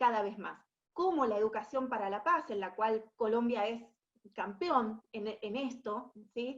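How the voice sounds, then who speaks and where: With an Argentine accent, a woman speaks at a fairly slow pace in a fairly high pitch and lively intonation. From Argentina. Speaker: education specialist at international organization. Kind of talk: webinar presentation. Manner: hesitant, many fillers and repetitions.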